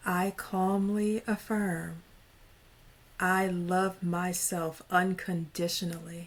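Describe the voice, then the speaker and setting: A woman's somewhat breathy, medium-pitched voice has a soothing tone and monotone, flat intonation. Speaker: mental wellness advocate and founder. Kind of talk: interview with guided affirmations.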